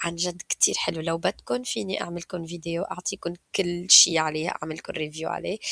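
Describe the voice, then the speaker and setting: In a Levantine accent, a woman speaks at a moderate pace with a dry, close sound and no echo. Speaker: YouTuber. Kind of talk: casual screen-share tutorial. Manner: casual, code-switching with English.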